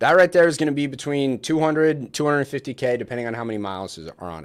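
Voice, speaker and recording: Here a man talks at a fairly quick pace with a plain, everyday voice. His pitch sits fairly high, and his intonation is lively. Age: 20s. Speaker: real estate wholesaler. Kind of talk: livestream Q&A. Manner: casual.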